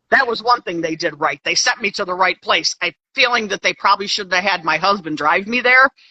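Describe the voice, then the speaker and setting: Speaking with an American accent, a woman with a medium-pitched voice, an unremarkable speaking voice, talks at a fairly quick pace with lively intonation and hardly any pauses. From Pennsylvania, USA. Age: 60s. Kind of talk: interview answer.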